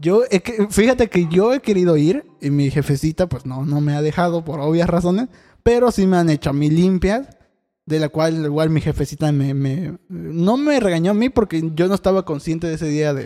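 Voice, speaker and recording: This man has a high pitch and a dark, mellow tone. He moves at a moderate pace with ordinary pitch variation. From Veracruz, Mexico (Catemaco). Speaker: podcast co-host. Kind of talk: casual chat.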